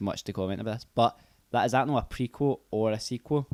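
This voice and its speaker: In a Scottish accent, a man speaks at a very fast pace with medium pitch and ordinary pitch variation, the sound dry and close with no echo. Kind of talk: casual podcast conversation.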